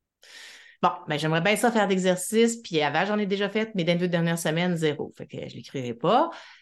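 Against a quiet background, a woman with a normal speaking voice talks at a medium pitch and a fairly quick pace with ordinary pitch variation. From Quebec City, Quebec. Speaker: psychologist. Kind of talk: interview.

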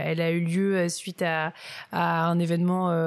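A woman speaks at a fairly slow pace, her pitch fairly low for a woman. The recording is very clean, with a silent background. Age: 30s. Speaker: cosmetics brand co-founder. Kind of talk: interview. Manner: halting.

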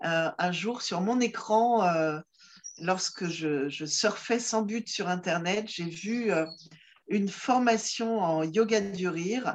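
This is a woman's voice. Her pitch varies in an ordinary way. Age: 50s. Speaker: comedian and laughter yoga facilitator. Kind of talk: casual interview. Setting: video call. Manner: hesitant, many fillers and repetitions. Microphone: distortion from poor rural connection.

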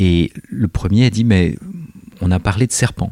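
A man speaks with a fairly low pitch and ordinary pitch variation, the sound dry and close with no echo. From southern France. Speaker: researcher in education. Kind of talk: interview. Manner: halting.

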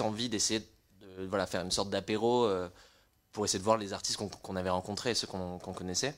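Speaking in a normal speaking voice, a man stays at a fairly low pitch. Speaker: music startup co-founder. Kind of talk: casual chat.

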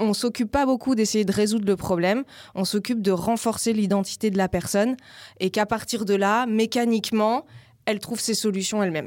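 A woman with a normal speaking voice talks at a fairly quick pace and fairly high pitch, her intonation fairly even and her loudness very even. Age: 40s. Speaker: life coach and yoga teacher. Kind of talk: casual interview.

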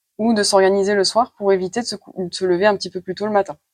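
Speaking at a very fast pace and medium pitch, a woman sounds dry and close with no echo against a quiet background. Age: 30s. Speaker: nurse and trainee Chinese medicine practitioner. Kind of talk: interview. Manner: hesitant with frequent fillers.

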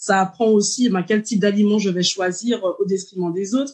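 Against a quiet background, a woman talks at a moderate pace with a medium pitch. Her voice is somewhat breathy, with ordinary pitch variation. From Martinique. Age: 30s. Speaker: dietitian. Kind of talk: interview.

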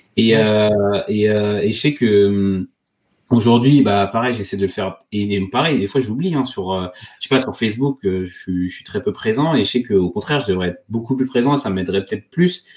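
This man's fairly low voice moves at a moderate pace with ordinary pitch variation. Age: 30s. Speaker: safety engineer and podcaster. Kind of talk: interview. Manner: halting.

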